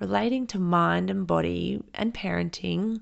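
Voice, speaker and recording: The talking comes at a fairly slow pace. It is delivered with an Australian accent. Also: woman. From South Australia, rural Riverland. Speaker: podcast host, parent educator and therapist. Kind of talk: solo podcast monologue.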